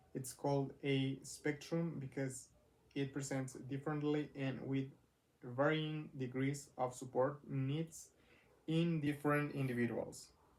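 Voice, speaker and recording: A man in a Mexican accent, fairly high-pitched and monotone, at a fairly slow pace. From Mexico. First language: Spanish. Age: 20s. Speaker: vlogger. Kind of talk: personal vlog. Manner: halting, many fillers.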